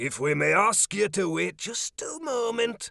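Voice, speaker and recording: A put-on character voice from a man, high-pitched and fairly slow, with very wide pitch swings. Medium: read story. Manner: sneering, mock-polite menace.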